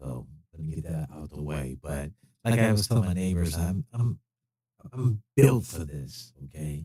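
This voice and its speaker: A man with a very deep, low, dark and mellow voice speaks at a moderate pace, somewhat breathy. His pitch swings very widely and his loudness shifts a lot, the sound dry and close with no echo. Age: 60s. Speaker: retired police officer. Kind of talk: live stream monologue. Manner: hesitant, many fillers.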